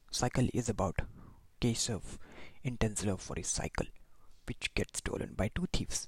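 A man's somewhat breathy, medium-pitched voice at a moderate pace, with ordinary pitch variation, long, frequent pauses and a dry, close sound with no echo. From India, Maharashtra. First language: Marathi. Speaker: podcast host, film recommender. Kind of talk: solo podcast monologue, reading plot summaries.

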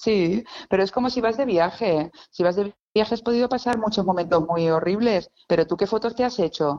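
With a dark, mellow tone, a woman speaks at medium pitch and a moderate pace, her loudness very even and her pitch variation ordinary. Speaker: illustrator, stationery designer. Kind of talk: casual interview chat. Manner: lively, laughing.

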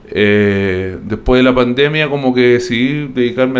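An ordinary speaking voice from a man, medium in pitch, at a moderate pace with fairly even intonation. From Chile, Biobío (Concepción). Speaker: music teacher. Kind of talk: casual chat.

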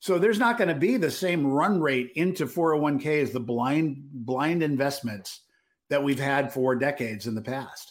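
At a moderate pace and with lively intonation, an ordinary speaking voice comes through on a very clean recording with a silent background. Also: man, fairly high pitch for a man. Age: 50s. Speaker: retail trader and podcast co-host. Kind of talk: casual market analysis chat.

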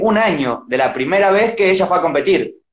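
This man's speech has ordinary pitch variation. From Argentina, Buenos Aires province (Junín). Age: 20s. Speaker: freestyle rapper. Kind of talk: casual interview. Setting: live video stream. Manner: fast.

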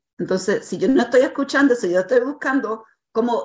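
This woman's voice sits fairly high in pitch, with very wide swings in it. She talks at a moderate pace. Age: 60s. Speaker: life coach. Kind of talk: interview. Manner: hesitant, with many fillers.

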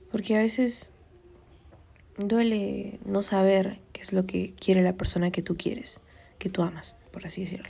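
A somewhat breathy woman at a medium pitch, with fairly even intonation and long, frequent pauses. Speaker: podcast host. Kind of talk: casual advice monologue. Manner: conversational, many fillers.

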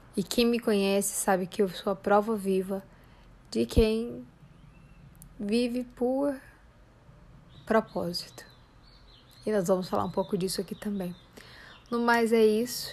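A woman speaks at a medium pitch and a fairly slow pace. She leaves long, frequent pauses. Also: ordinary pitch variation. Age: 30s. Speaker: psychologist and life coach podcast host. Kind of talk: podcast introduction monologue. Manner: informal, with filler hesitations.

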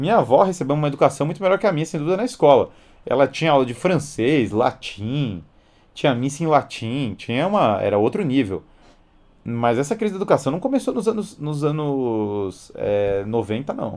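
Using very wide pitch swings, a man speaks at a moderate pace in a fairly high pitch. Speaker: educator and live-stream host. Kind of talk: live-stream lecture with Q&A.

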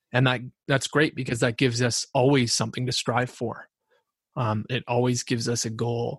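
Somewhat breathy and with a Canadian accent, the voice keeps a monotone, flat intonation at a moderate pace, in a dry, close sound with no echo. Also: man, medium pitch for a man. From Canada (Ontario). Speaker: podcast co-host. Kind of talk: casual chat.

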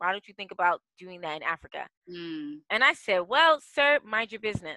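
A woman with an American accent, lively intonation and a bright, sharp tone, at a fairly quick pace in a dry, close sound with no echo. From Washington D.C. area, US. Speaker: partnership strategist. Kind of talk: interview.

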